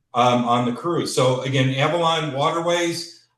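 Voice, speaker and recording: With a Chicago accent, a man talks in a fairly high voice and fairly even intonation, and audible room echo surrounds him. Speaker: cruise company representative. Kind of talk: sales presentation. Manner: casual with many filler words.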